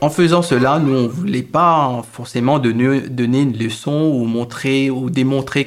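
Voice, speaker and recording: Noticeable background noise sits behind the speech. The delivery is fairly slow, with fairly even intonation. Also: man. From Mauritius. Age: 30s. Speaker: internet researcher. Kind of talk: personal storytelling interview. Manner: halting, many repetitions.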